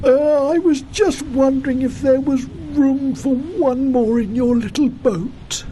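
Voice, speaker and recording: A put-on character voice moves at a fairly slow pace with clear background noise behind it. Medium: read story.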